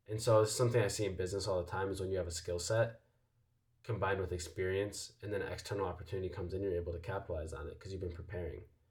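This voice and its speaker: Very deep and low, a man's somewhat breathy voice moves at a very fast pace with fairly even intonation. Room echo is audible. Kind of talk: casual motivational vlog talk. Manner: casual with many fillers.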